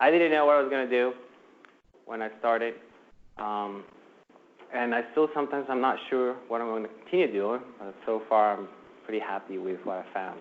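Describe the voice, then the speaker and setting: Medium-pitched male speech at a fairly quick pace, ordinary pitch variation, and long, frequent pauses. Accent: non-native. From New Jersey, US (moved from abroad in middle school). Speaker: IT professional and presenter. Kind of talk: workplace lunch presentation. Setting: room with live audience. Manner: casual, with many fillers.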